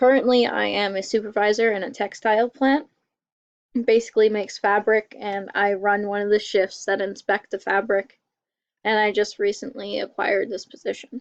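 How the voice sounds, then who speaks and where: A woman speaks in an ordinary speaking voice at a medium pitch and moderate pace. The sound is dry and close, with no echo. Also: fairly even intonation. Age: 20s. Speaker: college student. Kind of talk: class self-introduction presentation.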